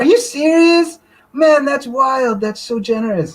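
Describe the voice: This put-on character voice sits at a high pitch and moves at a fairly slow pace. As part of the act, it carries an American accent.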